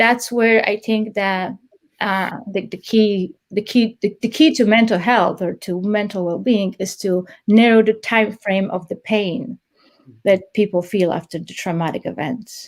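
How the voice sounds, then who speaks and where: At a fairly slow pace, a woman with a non-native accent speaks at a medium pitch with ordinary pitch variation, on a very clean recording with a silent background. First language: not English. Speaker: police trainer. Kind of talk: interview. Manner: halting, many repeated words.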